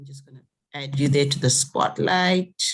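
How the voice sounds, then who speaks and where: A woman talks in a very deep, low pitch that is somewhat breathy. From Zimbabwe. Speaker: conference host. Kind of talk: online conference moderation.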